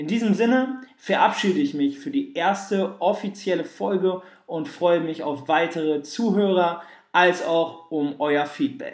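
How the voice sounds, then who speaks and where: The man's pitch is high and his intonation lively. He speaks at a fairly slow pace. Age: 20s. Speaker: podcast host and sports scientist. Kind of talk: solo podcast monologue.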